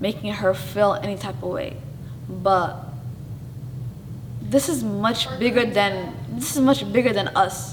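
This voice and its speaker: A woman speaks loudly at a fairly slow pace, with long, frequent pauses and very wide pitch swings around a medium pitch. Noticeable background noise runs under her voice. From Somali family, raised in US. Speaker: show host. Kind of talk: interview, casual personal talk. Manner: animated, says she talks loud; halting, self-correcting.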